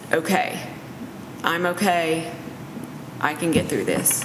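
A woman's fairly low, flat, monotone voice at a fairly slow pace over noticeable background noise. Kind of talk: casual faith-based discussion.

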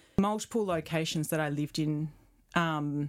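A woman's very deep, low pitch with an Australian accent, on a very clean recording with a silent background. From Perth, Western Australia. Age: 40s. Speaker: photographer and retreat creator. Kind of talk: casual interview.

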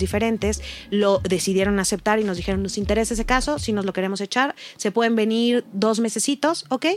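Ordinary variation marks the pitch. The speech moves fairly quickly. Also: woman. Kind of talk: personal testimony in casual chat. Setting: studio. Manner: emotional, voice breaking at times.

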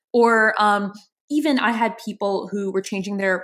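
A plain, everyday voice from a woman with an American accent, medium in pitch with ordinary pitch variation, at a moderate pace on a very clean recording with a silent background. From New Orleans, US. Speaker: podcast co-host. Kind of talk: casual chat.

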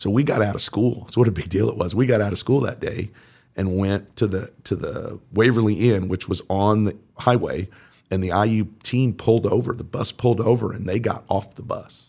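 A man with an American accent speaks in a dark, mellow tone with fairly even intonation, on a very clean recording with a silent background. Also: fairly low pitch for a man, moderate pace. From Indiana, US Midwest. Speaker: high school football coach. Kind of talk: casual interview.

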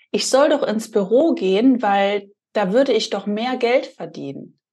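Fairly high in pitch, a woman with a normal speaking voice talks at a fairly slow pace with ordinary pitch variation. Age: 30s. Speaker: podcast host. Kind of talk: casual chat.

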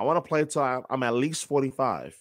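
With an American accent and a plain, everyday voice, a man talks at a fairly quick pace with ordinary pitch variation on a very clean recording with a silent background. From New York. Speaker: sports play-by-play announcer. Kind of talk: casual chat.

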